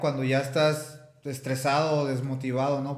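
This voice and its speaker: Noticeable background noise fills the recording. The man's voice has audible room echo around it. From Mexico, Tepic. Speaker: mixed martial arts fighter. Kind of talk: interview.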